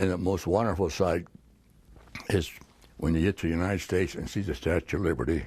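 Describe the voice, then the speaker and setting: The speech comes at a very fast pace with vocal fry. Pitch varies in an ordinary way. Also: man, very deep, low pitch for a man. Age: 90s. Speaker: war veteran. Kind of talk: interview answer.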